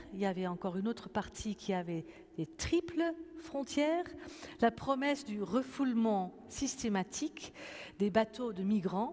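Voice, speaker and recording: Speaking at a fairly slow pace with long, frequent pauses, a woman uses a fairly high pitch and very wide pitch swings. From Netherlands. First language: Dutch (speaking French). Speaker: pastor and event moderator. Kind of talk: moderated public conversation. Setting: church with audience. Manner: hesitant, many fillers.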